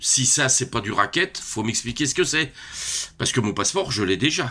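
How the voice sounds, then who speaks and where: Bright and sharp in tone, this man speaks at a medium pitch. His pace is moderate. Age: 60s. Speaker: retiree. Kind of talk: casual vlog rant. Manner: hesitant, many fillers.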